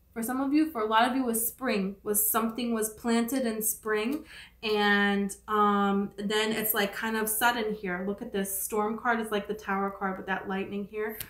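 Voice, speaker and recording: In an unremarkable speaking voice, a woman talks at a moderate pace with hardly any pauses. Her pitch is fairly high and her intonation fairly even. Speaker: tarot reader. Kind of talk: tarot reading. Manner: casual, filler-heavy.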